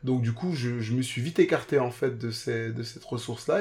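Somewhat breathy, a man talks in a medium pitch. His pace is fairly quick, with ordinary pitch variation. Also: very clean recording, silent background. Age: 30s. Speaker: podcast listener sharing weight-loss story. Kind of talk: testimony. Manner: halting.

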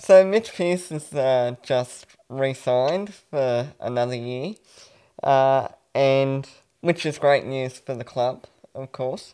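A man with an Australian accent speaks very slowly at a medium pitch with ordinary pitch variation. His tone is dark and mellow, with big swings in loudness. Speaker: sports podcast co-host. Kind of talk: casual interview.

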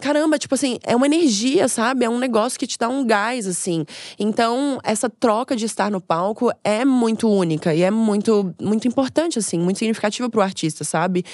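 With hardly any pauses, a woman speaks fairly quickly at a fairly high pitch with lively intonation, in a normal speaking voice. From Brazil, Florianópolis. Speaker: comedian. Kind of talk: casual chat.

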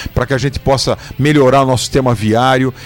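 A man talks fairly quickly at a medium pitch, with noticeable background noise behind him. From Sorocaba, São Paulo state, Brazil. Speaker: state housing secretary. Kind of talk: interview.

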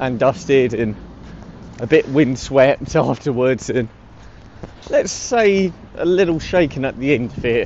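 A man with a British accent and fairly high pitch, over noticeable background noise. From UK. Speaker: podcast host. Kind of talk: casual chat. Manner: halting.

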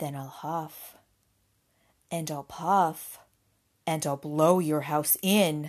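Using a put-on character voice, a woman speaks at a very slow pace with a low pitch and fairly even intonation.

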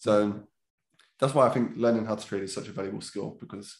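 A man's fairly low voice with vocal fry, very fast pace and fairly even intonation. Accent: South London. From south London (Catford, Lewisham). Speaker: trader and trading educator. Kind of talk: casual interview.

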